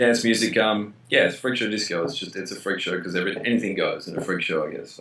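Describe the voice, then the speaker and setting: Talking at a very fast pace with hardly any pauses, a man with an Australian accent has a fairly low pitch, ordinary pitch variation, and a bright, sharp tone. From Australia, Melbourne. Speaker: DJ and musician. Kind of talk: interview. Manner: casual, hesitant with fillers.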